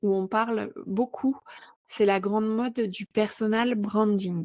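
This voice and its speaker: Dark and mellow in tone, a woman's voice moves at a very slow pace with fairly even intonation. The sound is dry and close, with no echo. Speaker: podcast host. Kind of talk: podcast interview.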